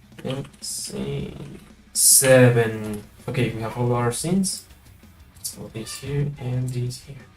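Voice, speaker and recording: The delivery is very slow, with long, frequent pauses. Music plays in the background. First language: not English. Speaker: streamer, motion graphics artist. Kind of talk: live stream tutorial. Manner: halting.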